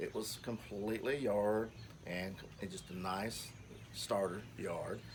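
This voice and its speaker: A man with a Kentucky accent and a fairly low pitch, over noticeable background noise. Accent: southern US (Kentucky). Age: 60s. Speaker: home gardener. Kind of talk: garden tour talk. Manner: halting, many fillers.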